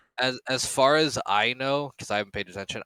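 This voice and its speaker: A man's medium-pitched voice with ordinary pitch variation and a bright, sharp tone, dry and close with no echo, in a very clean recording with a silent background. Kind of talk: casual chat. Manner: fast.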